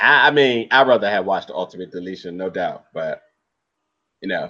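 A man's voice with vocal fry at a moderate pace. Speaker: podcast co-host. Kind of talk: casual chat.

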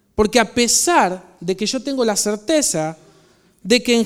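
This man talks at a fairly slow pace. His pitch is high, with ordinary variation. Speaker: pastor. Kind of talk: sermon.

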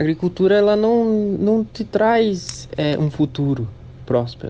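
With a dark, mellow tone and lively intonation, a man speaks at a very slow pace. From Santa Catarina, Brazil (Midwest region). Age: 20s. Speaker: young farmer and beekeeper. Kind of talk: interview testimony.

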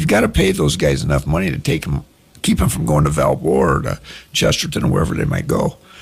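Someone with an American accent talks at a very fast pace. Noticeable background noise runs underneath. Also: man. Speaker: county councilman. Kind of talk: radio interview, call-in Q&A. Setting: radio studio.

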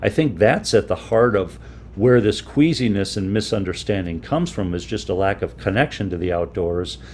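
A man with an American accent talks at a moderate pace in a fairly low voice, his pitch swinging very widely and edged with vocal fry. The recording is very clean, with a silent background. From Minnesota, US Midwest. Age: 60s. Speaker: photographer and outdoorsman. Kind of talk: radio interview.

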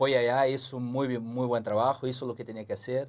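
The speaker is a man. He talks with a Portuguese accent. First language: Portuguese (speaking Spanish). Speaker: former footballer, football pundit. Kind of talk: casual sports analysis chat.

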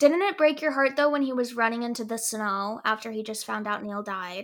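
In a normal speaking voice, a woman talks at a moderate pace with a fairly high pitch, ordinary pitch variation and big swings in loudness, on a very clean recording with a silent background. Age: 20s. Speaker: actress and nonprofit founder. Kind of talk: casual chat.

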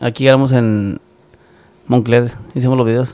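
Medium pitch and a fairly quick pace from a man. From Michoacán, Mexico. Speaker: musician. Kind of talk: casual chat.

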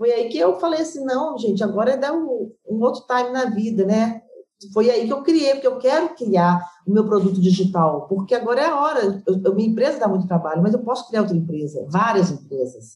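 A woman speaks at a fairly high pitch and a fairly quick pace. Her voice makes very wide pitch swings. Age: 50s. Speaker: gym owner and physical educator. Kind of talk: interview.

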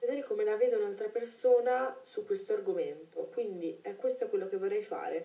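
Noticeable background noise sits behind a woman who talks at a fairly quick clip with hardly any pauses. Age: 20s. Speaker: podcaster. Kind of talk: solo monologue. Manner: hesitant.

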